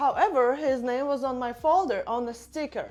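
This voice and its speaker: A woman with a Russian accent at a moderate pace, music playing in the background. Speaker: vlogger. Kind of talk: casual monologue to camera.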